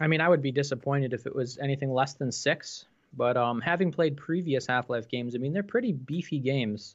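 A man's fairly high-pitched voice with an American accent, ordinary pitch variation and a fairly quick pace. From New York State. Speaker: VR enthusiast co-host. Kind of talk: casual live stream chat.

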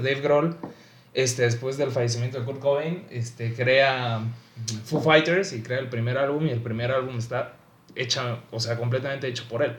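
A man with a Mexican accent speaks at a medium pitch and a moderate pace. His pitch varies normally, and there is audible room echo. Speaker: aspiring music producer. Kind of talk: casual chat.

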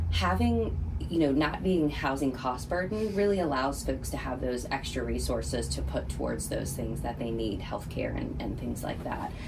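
Moderate pace from a woman with hardly any pauses, and noticeable background noise. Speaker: nonprofit philanthropy director. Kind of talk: radio interview.

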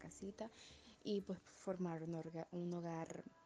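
Speaking very slowly, a woman uses a fairly low pitch with ordinary pitch variation. Noticeable background noise is present. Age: 20s. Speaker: interviewee, law firm employee. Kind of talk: interview.

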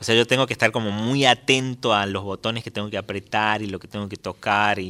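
Talking at a fairly quick pace with hardly any pauses, a man uses a fairly low-pitched, bright and sharp voice with big swings in loudness, recorded dry and close with no echo. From Tucumán, Argentina. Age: 30s. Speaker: folk musician. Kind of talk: radio interview. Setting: studio.

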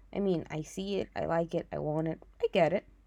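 This woman's voice has a dark, mellow tone. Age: 20s. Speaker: podcast host, publicist and marketer. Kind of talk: casual personal monologue. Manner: casual Spanglish code-switching.

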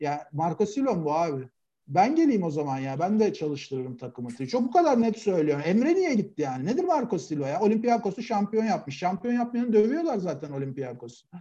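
A man with a high pitch and a dark, mellow tone makes very wide pitch swings and hardly any pauses. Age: 40s. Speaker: football pundit. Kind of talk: casual chat.

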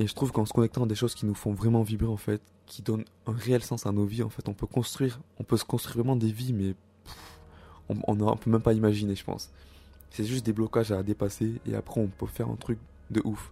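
A man speaks at a fairly quick pace in a somewhat breathy, medium-pitched voice with a dark, mellow tone and monotone, flat intonation. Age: 20s. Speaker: self-help podcaster. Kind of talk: solo monologue.

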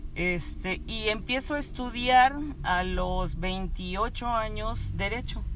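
Over noticeable background noise and audible room echo, a woman talks at a fairly high pitch and a very slow pace, with ordinary pitch variation. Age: 40s. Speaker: labor lawyer. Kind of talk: casual chat.

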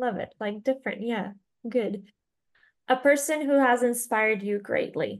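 Her pitch high with ordinary variation, a woman talks at a moderate pace with long, frequent pauses. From Venezuela. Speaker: podcast host. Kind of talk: interview.

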